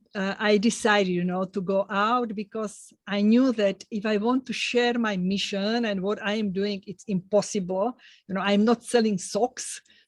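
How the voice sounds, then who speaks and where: A woman with a non-native accent speaks at a medium pitch and a moderate pace. Her intonation is monotone and flat, the sound dry and close with no echo. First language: not English. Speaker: podcast host. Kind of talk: interview podcast. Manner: halting.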